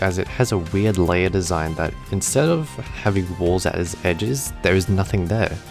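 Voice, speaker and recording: With music in the background, a man with a very deep, low voice talks at a moderate pace and ordinary pitch variation. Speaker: gaming YouTuber. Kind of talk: gaming tutorial narration.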